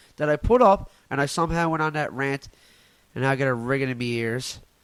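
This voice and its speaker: A loud man talking at a fairly quick pace with a Newfoundland accent. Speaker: comedian podcaster. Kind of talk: casual solo podcast rant.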